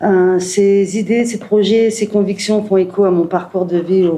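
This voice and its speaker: Noticeable background noise and audible room echo accompany speech delivered at a moderate speed. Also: woman. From northern France, Calais. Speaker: municipal election candidate. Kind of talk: prepared speech at press conference. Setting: press conference.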